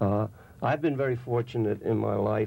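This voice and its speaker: A man's fairly low voice with vocal fry, ordinary pitch variation and a moderate pace. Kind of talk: interview answer. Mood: somber, reflective. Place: studio.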